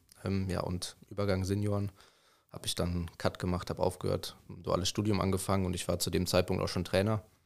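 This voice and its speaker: On a very clean recording with a silent background, a man with a very deep, low pitch speaks at a very fast pace in monotone, flat intonation. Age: 20s. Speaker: youth football coach. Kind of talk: casual chat.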